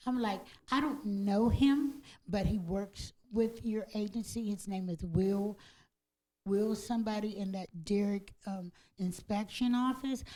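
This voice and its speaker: A woman speaks fairly slowly at a medium pitch, with ordinary pitch variation. Her tone is dark and mellow and somewhat breathy. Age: 60s. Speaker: public housing tenant giving public comment. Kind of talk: public comment at a commission meeting. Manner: halting.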